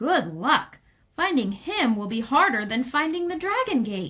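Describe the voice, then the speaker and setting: A woman performs a put-on character voice. It sits high in pitch with very wide swings. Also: moderate pace. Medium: read story.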